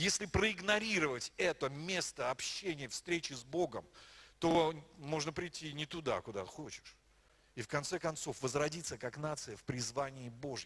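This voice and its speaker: At a moderate pace, a man with a fairly high pitch and a bright, sharp tone speaks with ordinary pitch variation. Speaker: pastor. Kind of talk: sermon. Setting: church. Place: church. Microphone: handheld.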